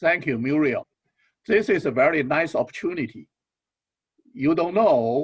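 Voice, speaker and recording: A man with a non-native accent and lively intonation, in a dry, close sound with no echo. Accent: foreign. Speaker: business school dean. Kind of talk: ceremony speech.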